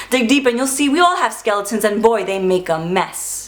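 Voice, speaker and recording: The speaker is a woman with a fairly high pitch. Noticeable background noise runs underneath. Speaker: spoken word poet. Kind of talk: spoken word poetry performance.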